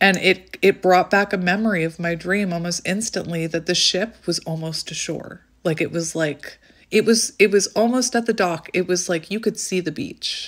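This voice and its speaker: Over a quiet background, a woman is talking. Her pace is moderate and her pitch varies in an ordinary way. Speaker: tarot reader vlogger. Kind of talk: casual vlog chat. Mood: light, laughing, storytelling. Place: home room. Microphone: phone near.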